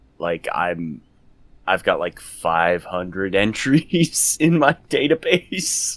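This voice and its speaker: Speaking very slowly in an American accent, a man has a medium-pitched voice with vocal fry. His pitch swings very widely. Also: dry, close sound with no echo, very clean recording, silent background. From New Jersey. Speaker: podcast guest. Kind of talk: casual chat. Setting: group call.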